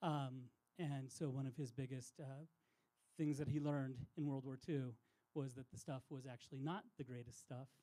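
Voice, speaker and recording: A man speaks in a soft-spoken way. His tone is dark and mellow, with fairly even intonation. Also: medium pitch for a man, moderate pace. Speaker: outdoor industry insider. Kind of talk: public talk.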